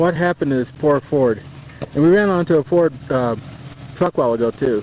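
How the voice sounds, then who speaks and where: A man talks with ordinary pitch variation while noticeable background noise is heard behind him. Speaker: amateur videographer on 4x4 camping trip. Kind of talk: home video narration. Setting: outdoors in mountains. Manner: playful mock-dramatic narration.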